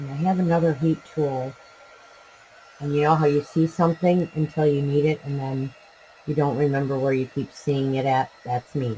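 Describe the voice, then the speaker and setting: Over noticeable background noise, a soft-spoken voice keeps a fairly even intonation. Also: man, fairly high pitch for a man, moderate pace. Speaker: crafter. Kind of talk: tutorial.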